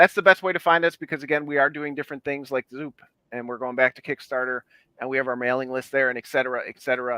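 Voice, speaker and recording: The speech runs at a very fast pace with fairly even intonation and big swings in loudness. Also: man, medium pitch for a man. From Chicago, US Midwest. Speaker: independent comic book publisher. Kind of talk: casual chat.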